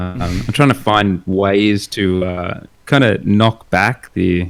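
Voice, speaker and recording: A man's fairly low-pitched voice with an Australian accent. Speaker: illustrator and concept artist. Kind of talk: casual chat. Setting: live stream while host paints.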